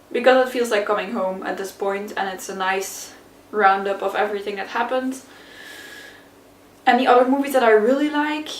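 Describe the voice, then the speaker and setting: Ordinary pitch variation, a fairly quick pace, long and frequent pauses and big swings in loudness, with noticeable background noise and audible room echo. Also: woman, fairly high pitch for a woman. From Flanders, Belgium. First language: Dutch (Flemish). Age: 20s. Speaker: YouTuber. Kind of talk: casual Q&A tag video. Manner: casual, hesitant with fillers.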